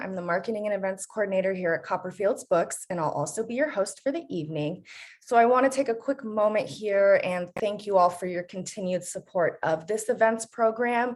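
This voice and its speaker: Speaking at a fairly quick pace with hardly any pauses, a woman uses an unremarkable speaking voice at a medium pitch with ordinary pitch variation, captured in a very clean recording over a silent background. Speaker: bookstore events host. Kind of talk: event introduction.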